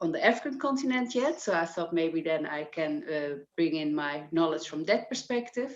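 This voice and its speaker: In a Dutch accent, a woman is talking. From Netherlands. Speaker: business impact developer, volunteer. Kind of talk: self-introduction on video call. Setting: video call.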